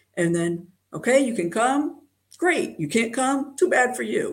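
Somewhat breathy speech from a woman with an American accent. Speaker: mathematician. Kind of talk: interview. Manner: halting.

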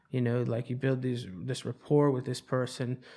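A man with an American accent speaks at a moderate pace. His medium pitch stays monotone and flat. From North Carolina (Charlotte). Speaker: recovery home founder. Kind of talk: casual interview. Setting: studio (hotel room).

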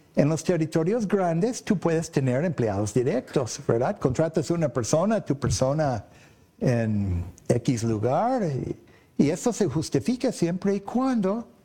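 A man with an English accent, a dark, mellow tone, a somewhat breathy quality and very wide pitch swings. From US, Boston and Oklahoma. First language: English (speaking Spanish). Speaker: electronics sales representative. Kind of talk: interview. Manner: halting, many fillers and repeats.

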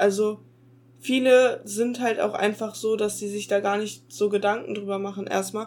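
With a plain, everyday voice, a woman speaks at a fairly high pitch and with fairly even intonation. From Ruhr area, Germany. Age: young. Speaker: podcast co-host. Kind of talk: casual chat. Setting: video call.

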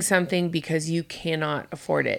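In a very clean recording with a silent background, a woman speaks at a fairly low pitch with a bright, sharp tone. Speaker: podcast co-host. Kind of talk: casual chat.

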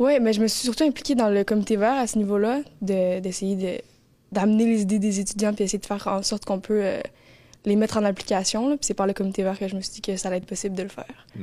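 A woman's medium-pitched, dark, mellow voice at a very fast pace with fairly even intonation. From Montreal, Quebec. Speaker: college student. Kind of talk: radio interview.

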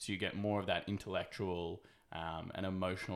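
Delivered with monotone, flat intonation in an Australian accent, this voice comes through in a very clean recording against a silent background. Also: man. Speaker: podcast host. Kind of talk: casual chat.

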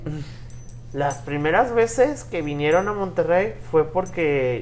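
The pace here is fairly slow. Room echo is audible. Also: man. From Mexico, Puebla. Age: 20s. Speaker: podcast host. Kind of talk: casual chat. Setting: hotel in Cancún, improvised recording.

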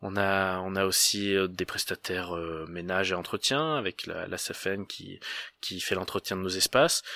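Speaking at a fairly slow pace, a man uses a very deep, low pitch with a bright, sharp tone and ordinary pitch variation. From France, Auvergne (Cantal, Aurillac). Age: 20s. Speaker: sports club event project manager. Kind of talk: interview. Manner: hesitant, many repetitions.

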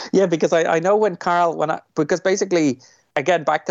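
A man speaks with a Dublin accent. His pace is fairly quick. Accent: Dublin Irish. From Ireland, Dublin. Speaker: film director. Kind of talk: interview.

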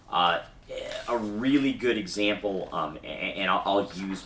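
The voice belongs to a man. Some echo from the room can be heard. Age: 30s. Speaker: podcast host and tabletop gamer. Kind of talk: casual chat.

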